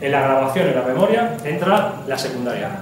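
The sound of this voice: A man speaks with lively intonation and a slightly mellow tone, with audible room echo.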